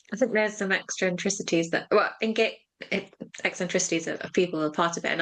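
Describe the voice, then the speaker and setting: Her delivery comes at a fairly quick clip. The woman keeps her intonation fairly even throughout. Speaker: higher education manager and podcast co-host. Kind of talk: casual chat. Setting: video recording. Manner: fast.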